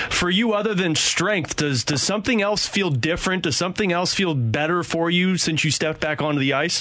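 Against noticeable background noise, the speaker keeps a very even loudness, uses ordinary pitch variation, and hardly pauses at all. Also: man, high pitch for a man, fairly quick pace. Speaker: radio host. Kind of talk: sports radio talk show. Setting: radio studio.

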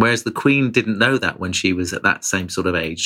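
Speaking with a British accent, a man with a fairly low pitch and a bright, sharp tone moves at a moderate pace. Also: very clean recording, silent background. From Britain. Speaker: foreign correspondent. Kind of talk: interview.

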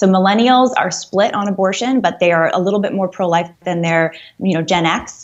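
With fairly even intonation, a plain, everyday voice runs at a fairly quick pace. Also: woman. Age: 30s. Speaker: anti-abortion activist. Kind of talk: radio interview.

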